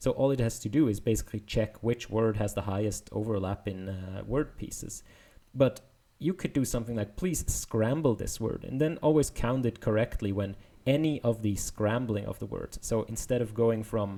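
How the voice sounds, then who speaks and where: A man's dark, mellow voice with a non-native accent at a moderate pace, on a very clean recording with a silent background. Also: medium pitch for a man, ordinary pitch variation. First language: not English. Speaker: machine learning video explainer. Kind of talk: paper walkthrough tutorial. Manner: casual, with many fillers.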